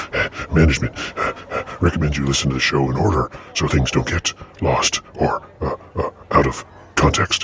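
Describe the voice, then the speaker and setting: A man does a put-on character voice, very deep and low, with long, frequent pauses and clear background noise. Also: moderate pace. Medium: actual play. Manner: halting, full of filler sounds.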